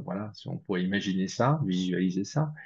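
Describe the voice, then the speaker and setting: A man speaks at a moderate pace in a dark, mellow tone with lively intonation. The background is quiet. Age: 60s. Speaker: spiritual researcher. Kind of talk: interview. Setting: video call. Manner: hesitant, many fillers.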